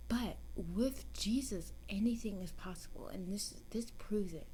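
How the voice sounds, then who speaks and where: A soft-spoken woman talks at a fairly slow pace. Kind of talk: soft-spoken ASMR Bible story reading.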